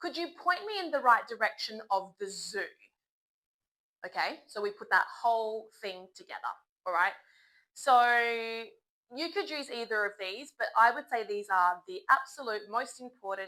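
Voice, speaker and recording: In an Australian accent, a woman with a fairly high, bright and sharp voice speaks with lively intonation and big swings in loudness on a very clean recording with a silent background. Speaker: English teacher. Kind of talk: tutorial. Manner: slow and clear, polite tone.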